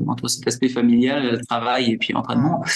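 Medium pitch from a man at a moderate pace, with noticeable background noise. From French Alps, Isère. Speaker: ultra-trail runner. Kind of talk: interview. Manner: hesitant, many fillers.

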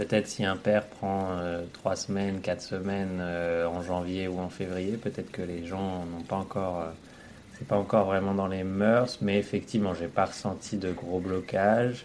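A man with a very deep, low pitch speaks at a fairly slow pace in a monotone, flat intonation. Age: 30s. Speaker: engineer and father. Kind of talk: interview testimony. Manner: halting, many hesitations.

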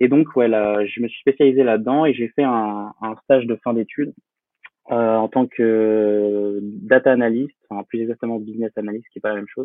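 A man's medium-pitched voice at a moderate pace, fairly even in intonation but with big swings in loudness. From France, Poitiers (Vienne). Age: 20s. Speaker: freelance photographer and entrepreneur. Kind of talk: podcast interview. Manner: hesitant, many fillers.

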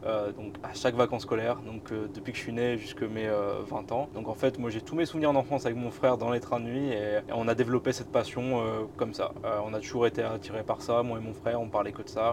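Man's medium-pitched voice, fairly quick and fairly even in intonation, against noticeable background noise. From northern France, Boulogne-sur-Mer. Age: 20s. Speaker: YouTuber, train travel creator. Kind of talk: casual interview, travel story. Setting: inside a parked historic train.

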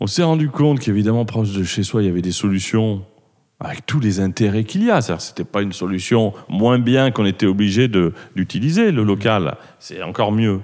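In a normal speaking voice, a man talks at a moderate pace with a fairly low pitch and ordinary pitch variation. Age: 50s. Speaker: company founder. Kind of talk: interview. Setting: cellar of the company.

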